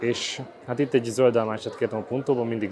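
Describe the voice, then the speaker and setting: A man speaks over noticeable background noise. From Hungary. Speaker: YouTuber, food reviewer. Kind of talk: casual vlog, food tasting. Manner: animated. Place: street. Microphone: phone near.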